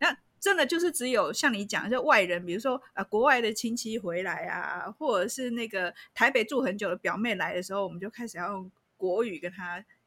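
A woman's fairly high, bright, sharp voice at a fairly quick pace with lively intonation, on a very clean recording with a silent background. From Taiwan, Changhua. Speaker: podcast host. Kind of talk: casual chat.

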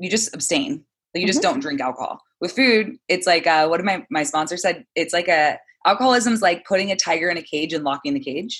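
Speaking at a fairly quick pace, a woman with an American accent has a fairly low pitch and very wide pitch swings. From Southern California. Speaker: wellness coach. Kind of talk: casual interview. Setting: video call.

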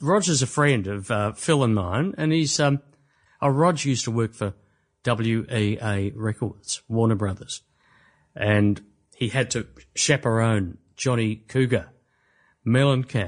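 This man talks at a fairly slow pace in an Australian accent. The background is quiet. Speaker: podcast co-host. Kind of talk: casual chat.

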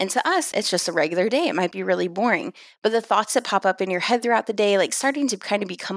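Her pitch shows ordinary variation. This woman speaks at a very fast pace. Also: very clean recording, silent background. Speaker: email marketer. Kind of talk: casual interview.

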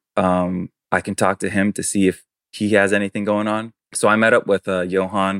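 A man speaks at a moderate pace in a monotone, flat delivery. The sound is dry and close with no echo, on a very clean recording with a silent background. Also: fairly low pitch for a man. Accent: American. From New York City. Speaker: fashion brand co-founder. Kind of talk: casual interview. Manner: hesitant, many fillers.

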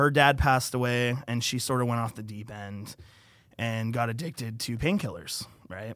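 In a plain, everyday voice, a man talks at a moderate pace with medium pitch and ordinary pitch variation. His loudness rises and falls a lot. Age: 20s. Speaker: podcast guest sharing mental health story. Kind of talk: casual chat.

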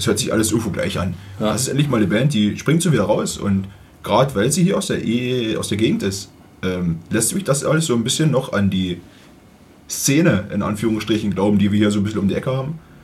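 Somewhat breathy and very fast, the voice has lively intonation and audible room echo. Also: man, fairly low pitch for a man. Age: 30s. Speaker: music podcast co-host. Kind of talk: casual chat.

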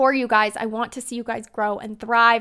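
Recorded very cleanly against a silent background, a woman speaks at a moderate pace in a bright, sharp tone. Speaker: podcast host, social media business coach. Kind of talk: solo podcast tutorial. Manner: calm, encouraging.

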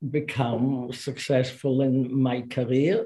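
A woman's very deep, low pitch carries a dark, mellow tone. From Israel. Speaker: chemist and science diplomacy advocate. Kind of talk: interview. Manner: hesitant with fillers.

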